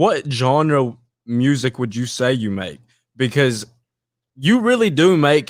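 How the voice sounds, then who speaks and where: On a very clean recording with a silent background, a man with an East Tennessee accent speaks at a fairly slow pace and medium pitch. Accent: East Tennessee Southern. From Dunlap, Tennessee. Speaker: podcast host. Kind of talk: interview question.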